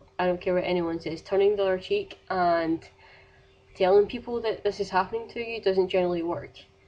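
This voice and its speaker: A woman's very fast speech in a Scottish accent, medium in pitch with ordinary pitch variation. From Scotland. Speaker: vlogger. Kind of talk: casual vlog advice rant.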